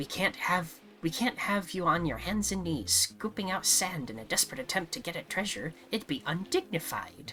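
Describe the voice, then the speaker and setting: With clear background noise behind her, a woman in a put-on character voice at a fairly low pitch speaks with hardly any pauses. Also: moderate pace. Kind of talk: comic overacting. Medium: game stream.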